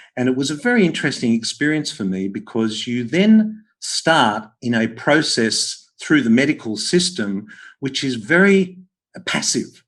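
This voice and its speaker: A man talks at a fairly slow pace in an Australian accent, with medium pitch and very wide pitch swings. The background is quiet. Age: 60s. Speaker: podcast host, health practitioner. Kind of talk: interview conversation.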